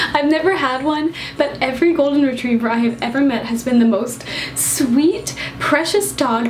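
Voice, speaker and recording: Bubbly in tone, a woman speaks at a moderate pace and high pitch with ordinary pitch variation, audible room echo and noticeable background noise. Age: young. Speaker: YouTuber. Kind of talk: casual Q&A vlog. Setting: on a couch in new room.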